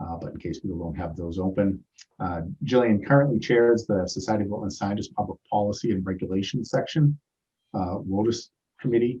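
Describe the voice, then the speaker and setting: Dark, mellow tone with ordinary pitch variation. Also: man, fairly low pitch for a man. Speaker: chapter president and meeting moderator. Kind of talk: meeting introduction of speakers. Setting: video call webinar. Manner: loud; halting, many fillers.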